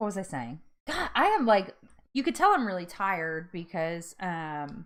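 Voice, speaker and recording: A woman with an American accent sounds animated, her pitch swinging very widely at a moderate pace on a very clean recording with a silent background. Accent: New Jersey accent, comes out occasionally. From North Jersey, US. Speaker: weight loss vlogger. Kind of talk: casual livestream chat. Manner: animated, many fillers.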